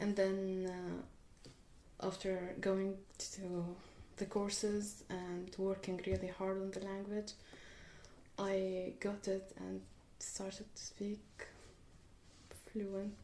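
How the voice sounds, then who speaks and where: In an Arabic accent, a woman speaks very slowly with long, frequent pauses, her medium-pitched voice dark and mellow in tone and flat, monotone in intonation, with audible room echo. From Syria. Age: 20s. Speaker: refugee student. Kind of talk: interview. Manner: hesitant.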